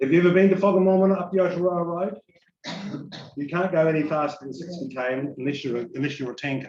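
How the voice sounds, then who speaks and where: A man's high-pitched voice with a New Zealand accent, ordinary pitch variation and a very fast pace. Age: 60s. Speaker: EV enthusiast guest speaker. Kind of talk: informal presentation to audience. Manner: casual, conversational.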